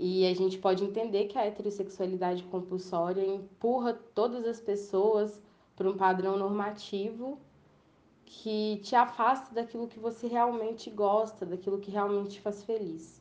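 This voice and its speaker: In a plain, everyday voice, a woman talks at a medium pitch and a moderate pace. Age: 20s. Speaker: communications intern sharing personal testimony. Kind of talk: personal testimony monologue.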